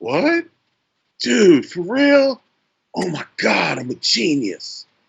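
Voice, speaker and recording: In a put-on character voice, a man speaks with a high pitch. His pace is very slow. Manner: laid-back, amazed.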